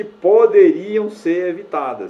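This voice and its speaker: A man speaks at a fairly slow pace with noticeable background noise behind him. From Brazilian Northeast. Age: 60s. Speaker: YouTuber, social commentator. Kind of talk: opinion monologue to camera. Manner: halting, with many fillers.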